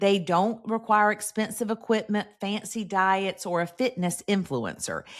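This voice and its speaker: A woman with an unremarkable speaking voice talks at a fairly slow pace with hardly any pauses. Her medium pitch follows a fairly even intonation. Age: 50s. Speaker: podcast host. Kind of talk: scripted podcast monologue.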